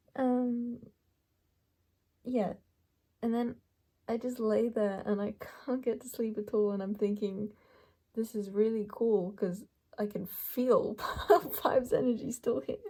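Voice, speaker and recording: Somewhat breathy and fairly high-pitched, a woman speaks with long, frequent pauses. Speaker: tarot card reader. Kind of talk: pick a card reading. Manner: halting, filler-heavy.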